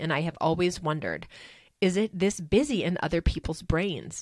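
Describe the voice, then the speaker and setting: In a very clean recording with a silent background, a woman speaks at a moderate pace with a fairly low pitch and vocal fry. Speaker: podcast co-host. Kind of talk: solo monologue about personal experience.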